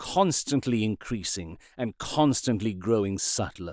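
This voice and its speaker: This man has a plain, everyday voice at a medium pitch. He keeps a moderate pace with lively intonation. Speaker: podcast host and audiobook narrator. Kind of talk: audiobook narration.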